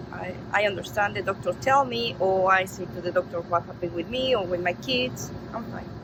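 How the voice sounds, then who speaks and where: Over noticeable background noise, a woman with a Spanish accent talks fairly quickly at medium pitch, hardly pausing, her pitch swinging very widely. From Mexico. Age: 50s. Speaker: interviewee. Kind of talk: interview. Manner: halting.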